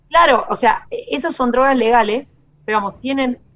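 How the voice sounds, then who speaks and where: A woman talks at a very fast pace in a Rioplatense accent. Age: 40s. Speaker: lawyer. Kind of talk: radio interview.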